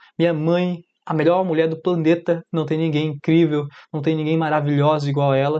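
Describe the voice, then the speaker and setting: Fairly quick, monotone, flat delivery in a dark, mellow tone. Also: man. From Brazil, Amapá (north). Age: 20s. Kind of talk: personal testimony. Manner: casual, direct to viewer.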